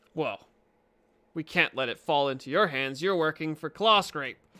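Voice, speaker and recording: A man puts on a character voice at a fairly high pitch. He keeps a moderate pace on a very clean recording with a silent background. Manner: through gritted teeth.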